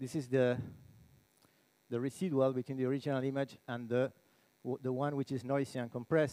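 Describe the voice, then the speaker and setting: A man speaks in a dark, mellow tone. His pace is moderate. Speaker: conference speaker. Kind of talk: lecture. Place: hall. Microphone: headset.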